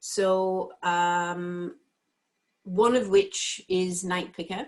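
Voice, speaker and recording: Speaking very slowly in an English accent, a woman has a medium pitch and fairly even intonation. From England. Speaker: entrepreneur. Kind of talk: impromptu pitch.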